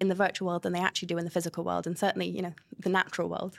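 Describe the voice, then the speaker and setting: A woman speaks at a medium pitch. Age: 30s. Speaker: author and speaker. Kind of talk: interview conversation.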